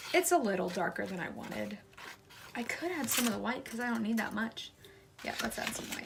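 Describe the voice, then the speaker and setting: A woman speaks at a fairly quick pace with a fairly high pitch and very wide pitch swings, broken by long, frequent pauses. Noticeable background noise is present. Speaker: baking video creator. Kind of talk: cooking tutorial. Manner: casual, chatty.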